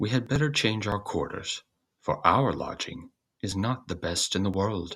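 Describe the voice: Using a put-on character voice, a man speaks at a fairly slow pace in a fairly low pitch, with lively intonation and a slightly husky edge.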